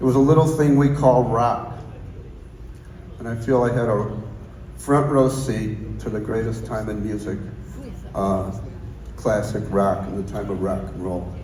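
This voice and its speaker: Through noticeable background noise and audible room echo, a man with a fairly low pitch speaks at a fairly slow pace, taking long, frequent pauses, with ordinary pitch variation. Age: 60s. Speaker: guitar maker. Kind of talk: acceptance speech. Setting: stage with audience.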